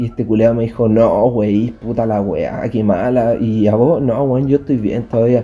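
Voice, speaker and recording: At a fairly slow pace, a man with a Chilean accent speaks in a fairly even intonation. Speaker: podcast co-host. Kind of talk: casual chat.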